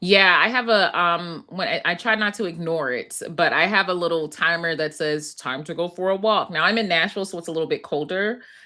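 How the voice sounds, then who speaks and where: A woman's bright, sharp voice with an American accent at a fairly low pitch, fairly quick pace, ordinary pitch variation, and hardly any pauses. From Philadelphia, US. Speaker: clinical psychologist. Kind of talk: webinar interview.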